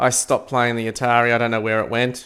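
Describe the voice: A man's medium-pitched voice, fairly bright, with a clear, smooth tone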